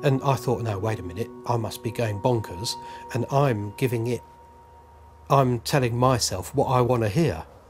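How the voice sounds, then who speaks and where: Speaking at a fairly slow pace, a man with a medium-pitched voice and ordinary pitch variation comes through over noticeable background noise. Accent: London. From London. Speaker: UFO witness. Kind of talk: testimony. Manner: halting.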